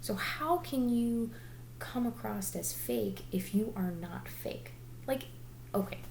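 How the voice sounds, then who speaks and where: A woman speaks quietly. Audible room echo and noticeable background noise fill the recording. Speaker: direct sales consultant and vlogger. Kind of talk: motivational talk to camera. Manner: quiet because it is late.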